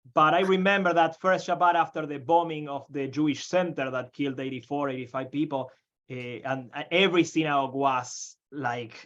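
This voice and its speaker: At a moderate pace, a man talks with an Argentine accent. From Argentina. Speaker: rabbi. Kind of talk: panel discussion.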